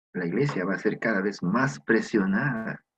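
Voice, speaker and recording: A man's voice with very wide pitch swings. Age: 60s. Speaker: preacher. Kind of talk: sermon.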